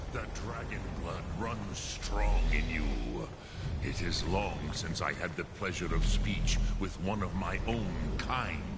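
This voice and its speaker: Loud background noise surrounds a put-on character voice delivered at a fairly slow pace. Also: man, very deep, low pitch for a man. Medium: video game. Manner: slow, measured, grave, sprinkled with dragon words.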